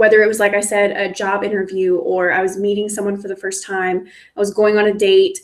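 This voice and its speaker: Fairly high in pitch, a woman with an American accent talks at a fairly quick pace. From US South, East Texas then Houston. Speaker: online content creator. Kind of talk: live stream storytelling. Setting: live stream, solo. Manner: casual with many fillers and restarts.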